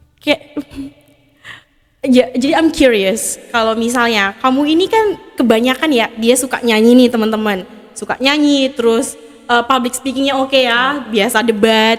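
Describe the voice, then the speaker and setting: Music plays behind a high-pitched woman with ordinary pitch variation. She talks at a fairly slow pace. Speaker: podcast host. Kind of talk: casual podcast interview, mixing English.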